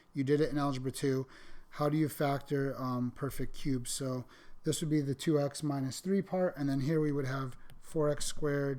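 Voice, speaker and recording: With a dark, mellow tone, a man speaks at a fairly high pitch with fairly even intonation. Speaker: math teacher. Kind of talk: lecture. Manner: fast.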